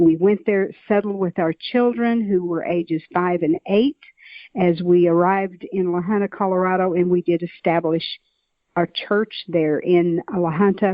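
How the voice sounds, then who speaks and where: A woman's medium-pitched voice with a Southern US accent, a moderate pace and fairly even intonation. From Oklahoma, US South. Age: 70s. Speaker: author and nurse. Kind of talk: interview.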